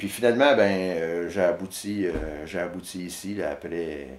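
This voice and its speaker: This man talks with a Quebec accent. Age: 50s. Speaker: storyteller and video artist. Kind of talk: interview answer. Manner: rambling, casual, many hesitations.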